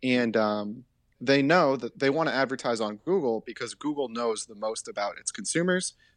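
A normal speaking voice from a man, medium-pitched, moderate in pace, with lively intonation and big swings in loudness, dry and close with no echo against a quiet background. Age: 20s. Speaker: podcast co-host. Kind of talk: casual chat.

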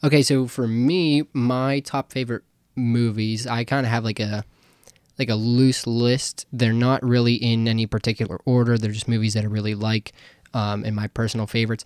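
With an American accent, a man speaks in an unremarkable speaking voice at a medium pitch, with fairly even intonation and a moderate pace, the sound dry and close with no echo on a very clean recording with a silent background. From Pittsburgh area, US. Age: 20s. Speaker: podcast co-host. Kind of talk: casual chat.

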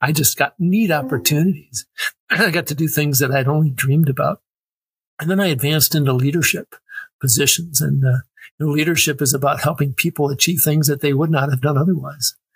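A somewhat breathy man with an American accent speaks at a fairly quick pace and fairly high pitch, with ordinary pitch variation. His loudness stays very even in a dry, close sound with no echo. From Wisconsin, US Midwest. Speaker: military veteran. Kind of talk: casual interview chat.

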